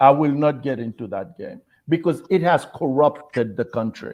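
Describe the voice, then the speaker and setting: Lively intonation and vocal fry mark speech at a moderate pace. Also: man. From Bahamas. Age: 60s. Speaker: political candidate. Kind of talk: interview. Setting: livestream.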